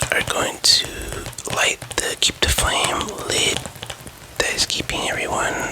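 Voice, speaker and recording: Whispering over noticeable background noise, broken by long, frequent pauses. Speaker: ASMR creator. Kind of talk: ASMR roleplay as a game store employee. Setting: ASMR recording with tapping and controller sounds. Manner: explaining, slightly unsure and stumbling.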